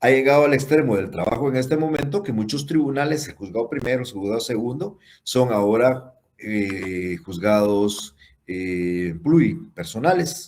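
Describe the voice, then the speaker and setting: A man speaks at a medium pitch and a fairly slow pace. His pitch swings very widely. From Guatemala. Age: 60s. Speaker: law professor. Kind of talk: lecture.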